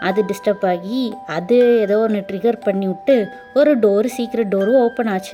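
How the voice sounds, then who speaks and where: Music plays in the background as a woman talks at a fairly high pitch with ordinary pitch variation. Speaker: storyteller, voiceover narrator. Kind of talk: casual first-person dream story. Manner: casual, chatty.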